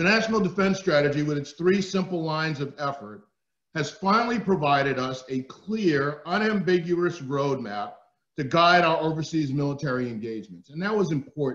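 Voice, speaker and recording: A man with a New Jersey accent and a fairly high pitch. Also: lively intonation, moderate pace. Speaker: retired army general. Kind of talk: keynote speech. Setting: webinar. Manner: loud.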